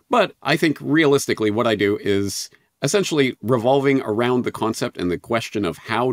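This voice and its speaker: A man with a Canadian accent and a normal speaking voice, lively intonation and a fairly quick pace, in a dry, close sound with no echo on a very clean recording with a silent background. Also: hardly any pauses. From western Canada, Calgary. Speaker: podcaster and independent journalist. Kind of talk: interview.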